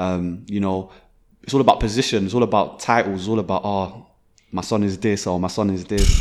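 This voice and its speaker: In a plain, everyday voice, a man speaks fairly quickly with fairly low pitch and fairly even intonation. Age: young. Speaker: events business founder. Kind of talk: casual interview.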